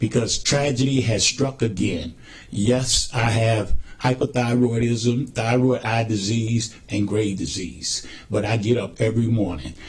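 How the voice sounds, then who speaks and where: A man with an unremarkable speaking voice, at a fairly slow pace with fairly even intonation. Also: medium pitch for a man. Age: 60s. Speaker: recovering addict speaking at forum. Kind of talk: testimony. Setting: public forum.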